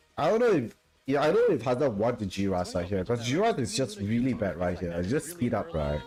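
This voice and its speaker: A man with a non-native accent at a fairly quick pace, very wide pitch swings, and noticeable background noise. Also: medium pitch for a man. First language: not English. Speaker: esports caster. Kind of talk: live commentary.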